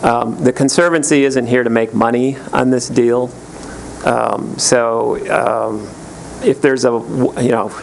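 A man's medium-pitched voice at a fairly slow pace, very even in loudness and fairly even in intonation, over noticeable background noise. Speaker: land conservancy representative. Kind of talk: public meeting comment. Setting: county board meeting at podium microphone.

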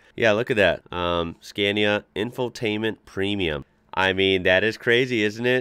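Against a quiet background, a man's fairly low voice shows ordinary pitch variation in a dry sound with no echo. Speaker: reaction video host. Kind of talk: casual reaction commentary. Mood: enthusiastic, impressed. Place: home room.

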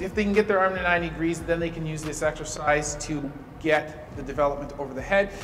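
Over light background noise, a man talks at a fairly quick pace, his pitch high and its variation ordinary. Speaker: physical therapy instructor. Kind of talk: tutorial. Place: gym. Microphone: camera far.

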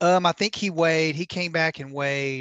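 Over a quiet background, a man speaks at a moderate pace. His intonation is fairly even, and the sound is dry with no echo. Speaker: fishing tournament videographer. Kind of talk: casual podcast chat. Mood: relaxed, conversational. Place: home room. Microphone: headset.

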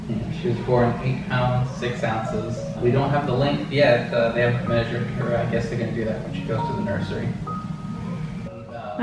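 A man's voice carries audible room echo, with music in the background. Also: moderate pace. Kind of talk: casual vlog chat.

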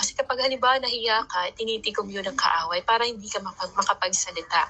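Her pitch fairly high, a woman speaks at a moderate pace with ordinary pitch variation. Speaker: Bible teacher and street evangelist. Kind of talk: Bible reading with commentary. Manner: casual, with frequent fillers and self-corrections.

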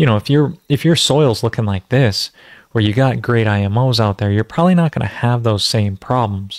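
A man talks at a moderate pace with ordinary pitch variation and very even loudness. The sound is dry with no echo, and the background is quiet. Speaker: natural farming host. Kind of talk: lecture. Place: home room. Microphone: studio mic.

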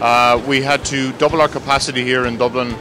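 Clear music plays behind a man whose intonation is fairly even, and the sound is dry with no echo. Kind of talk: interview answer. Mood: positive, measured. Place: factory.

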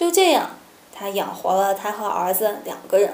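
A woman speaks at a fairly slow pace. Room echo is audible. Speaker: storytelling vlogger. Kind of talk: story narration to camera. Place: home room.

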